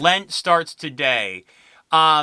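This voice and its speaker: Recorded very cleanly against a silent background, a man speaks in a bright, sharp tone. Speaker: podcast host. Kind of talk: casual monologue. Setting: filming at home. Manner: quiet, hushed.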